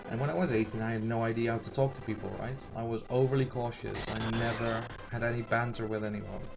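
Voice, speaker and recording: With a non-native accent, a man talks at a very fast pace with hardly any pauses, at medium pitch. His intonation is monotone and flat, and there is noticeable background noise. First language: not English. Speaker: video game streamer. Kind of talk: casual chat. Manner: hesitant, many fillers.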